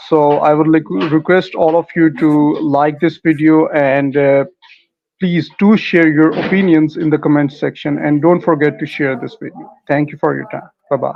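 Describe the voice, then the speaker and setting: With a non-native accent, a man speaks at a moderate pace in a fairly high pitch with fairly even intonation. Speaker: interviewer, channel host. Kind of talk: interview.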